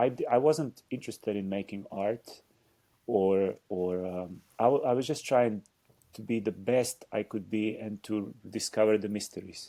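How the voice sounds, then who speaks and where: A man with a Slovenian accent speaks in a fairly low pitch with a dark, mellow tone. His pace is fairly slow with ordinary pitch variation, on a very clean recording with a silent background. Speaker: dancer and choreographer. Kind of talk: interview conversation. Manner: halting.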